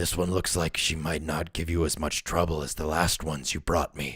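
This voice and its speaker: A man puts on a character voice that is very deep and raspy. He speaks at a moderate pace with monotone, flat intonation. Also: very clean recording, silent background. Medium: read story. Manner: smooth, controlled.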